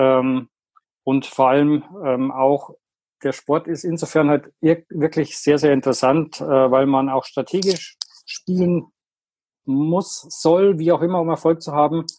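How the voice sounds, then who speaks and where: Very slow and broken by long, frequent pauses, a man's fairly high-pitched voice has a dark, mellow tone and fairly even intonation. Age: 50s. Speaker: golf product inventor. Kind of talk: podcast interview.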